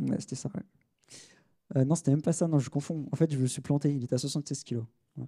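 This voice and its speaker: Speaking at a very fast pace, a man has a fairly high, somewhat breathy voice with a dark, mellow tone. His intonation is fairly even, his pauses long and frequent, and the sound is dry and close with no echo. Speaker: sports tech consultant. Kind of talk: conference talk. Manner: hesitant, many fillers.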